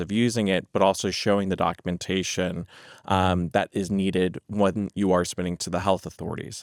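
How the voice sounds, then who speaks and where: A man with an American accent speaks at a very deep, low pitch. The recording is very clean, with a silent background and a dry, close sound with no echo. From United States. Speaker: healthcare language services executive. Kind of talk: podcast interview. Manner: frequent filler words (um).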